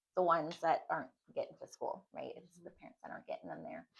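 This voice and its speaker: A woman is talking. Her accent is American. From Texas, Montgomery County. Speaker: judicial candidate. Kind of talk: interview. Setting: panel interview. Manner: halting, many fillers.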